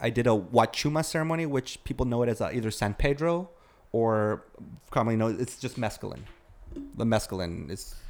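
A man speaks in a plain, everyday voice at a medium pitch. His intonation is lively and his pace fairly quick. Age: 40s. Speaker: former music industry worker. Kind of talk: casual chat.

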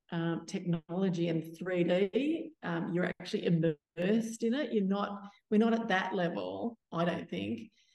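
A woman in an Australian accent, with medium pitch, a dark, mellow tone and a very slow pace. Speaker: community theatre founder. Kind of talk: panel discussion.

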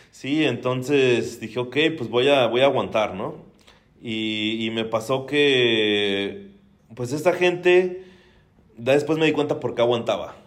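Amid audible room echo, a man with a Mexican accent talks at a very slow pace at medium pitch with ordinary pitch variation. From Mexico. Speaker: real estate investor. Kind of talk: casual interview.

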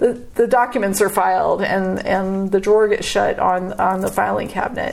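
A woman at a moderate pace, music in the background. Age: 40s. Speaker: artist. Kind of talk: interview.

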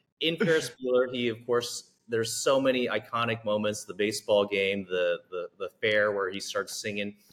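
A man with a normal speaking voice, medium pitch, ordinary pitch variation, moderate pace and hardly any pauses. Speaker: podcast host. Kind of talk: interview.

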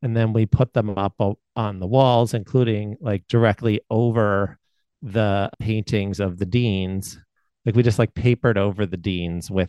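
A plain, everyday voice with fairly even intonation. The sound is dry and close with no echo, and the background is quiet. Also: man. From Baltimore, US. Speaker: education professor. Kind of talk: casual interview.

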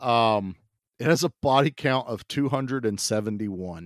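On a very clean recording with a silent background and a dry, close sound with no echo, a man speaks at a fairly slow pace. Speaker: podcast co-host. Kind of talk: casual chat. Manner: animated.

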